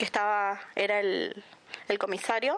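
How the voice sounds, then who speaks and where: A woman speaking at a fairly high pitch. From Puerto Iguazú, Misiones, Argentina. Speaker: victim's relative. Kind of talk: testimony. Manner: halting.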